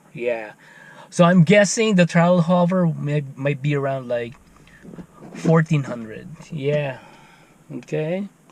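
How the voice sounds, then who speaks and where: Speaking very slowly with long, frequent pauses, a man with a Filipino accent uses a fairly high pitch and ordinary pitch variation. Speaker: FPV drone hobbyist YouTuber. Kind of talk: tutorial.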